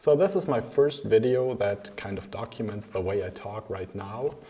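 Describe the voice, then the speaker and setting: A man is speaking. He has a German accent. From Germany. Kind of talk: casual talk to camera.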